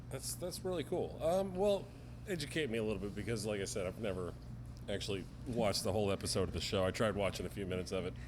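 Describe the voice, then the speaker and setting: A man talks at a very fast pace in a fairly low voice with vocal fry and very wide pitch swings. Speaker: interview show host. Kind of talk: interview host talk.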